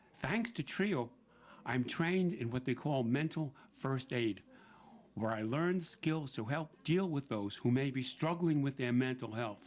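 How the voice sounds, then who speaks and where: A man with a New York accent, lively intonation and a fairly slow pace. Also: medium pitch for a man, very clean recording, silent background. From New York City, Brooklyn. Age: 70s. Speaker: senior center member and volunteer. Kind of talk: prepared speech at a public event. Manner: some stammering and repeated words.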